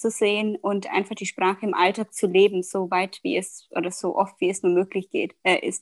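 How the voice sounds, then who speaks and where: Recorded with a dry, close sound and no echo, a woman speaks at a medium pitch with ordinary pitch variation. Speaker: communications manager. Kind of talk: casual interview, exam-style discussion practice. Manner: hesitant, many filler sounds.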